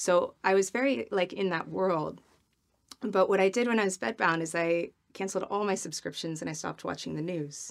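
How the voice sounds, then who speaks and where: A woman with an ordinary speaking voice and an American accent, medium pitch, ordinary pitch variation, and a fairly quick pace. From US Midwest. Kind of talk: interview.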